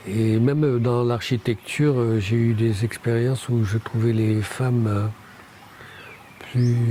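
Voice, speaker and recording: A man's monotone, flat delivery at a fairly slow pace, with very even loudness, long, frequent pauses and noticeable background noise. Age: 60s. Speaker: Auroville pioneer and architect. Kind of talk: interview. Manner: hesitant, many fillers.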